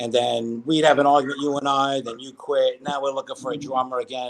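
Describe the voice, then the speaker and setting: A man speaks in a Brooklyn accent at a fairly high pitch. He talks very fast. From New York, Brooklyn. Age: 50s. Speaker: musician, guitarist. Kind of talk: casual interview chat.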